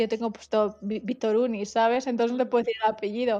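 In a Madrid accent, the speaker moves at a fairly quick pace with a monotone, flat intonation. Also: woman. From Madrid, Spain. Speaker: HR manager. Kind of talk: interview.

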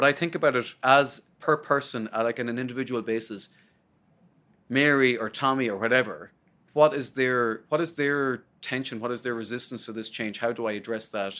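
Fairly even intonation and a fairly quick pace carry this speaker's Irish accent, in a bright, sharp tone. The recording is very clean, with a silent background. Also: man, medium pitch for a man. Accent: Irish (Sligo). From Ireland, County Sligo. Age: 30s. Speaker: research executive. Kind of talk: interview.

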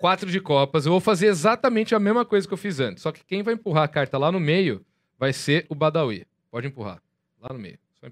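The man's voice sits fairly high and moves through very wide pitch swings and big swings in loudness. He goes at a fairly quick pace on a very clean recording with a silent background. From Brazil, interior of São Paulo state. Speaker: podcast host and magician. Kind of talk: casual chat. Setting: studio.

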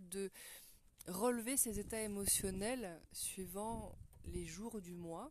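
A woman at a medium pitch talks very slowly, with ordinary pitch variation. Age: 40s. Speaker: women's wellness podcaster. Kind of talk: monologue talk on menstrual cycle. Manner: hesitant with fillers.

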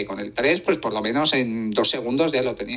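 Amid noticeable background noise, a man talks at a moderate pace and a medium pitch with ordinary pitch variation. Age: 20s. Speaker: tech writer and podcaster. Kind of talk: interview. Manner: voice sometimes shaky from nerves.

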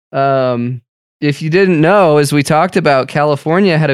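At a moderate pace, a man speaks in an ordinary speaking voice at a fairly high pitch with ordinary pitch variation. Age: 30s. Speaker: podcast host. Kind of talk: casual chat; news commentary.

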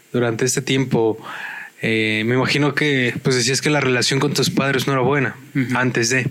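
There is noticeable background noise behind this man. He speaks with fairly even intonation. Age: 30s. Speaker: podcast co-host. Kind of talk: casual chat.

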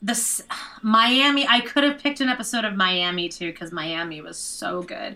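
A woman's bright, sharp tone with very wide pitch swings. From Canada. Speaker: podcaster and dog walker. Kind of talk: casual chat. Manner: animated.

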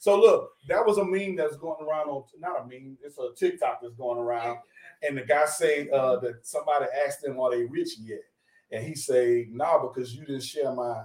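With an ordinary speaking voice, a man talks at a moderate pace and a fairly high pitch. His loudness swings widely while his pitch varies ordinarily. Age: 40s. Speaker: podcast co-host. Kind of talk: casual chat.

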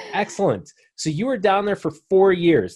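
Energetic in tone, a man talks at a moderate pace. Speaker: podcast host, veterinarian. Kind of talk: interview.

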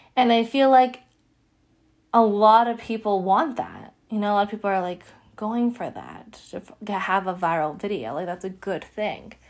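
A plain, everyday voice at a moderate pace, with ordinary pitch variation and big swings in loudness. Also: woman, medium pitch for a woman. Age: 20s. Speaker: podcast host. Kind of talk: solo spiritual podcast monologue. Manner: casual, many filler words.

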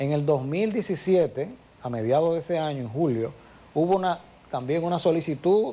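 A man speaks in a dark, mellow tone. His pitch sits fairly high. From Santiago, Dominican Republic. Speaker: monument administrator. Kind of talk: TV interview.

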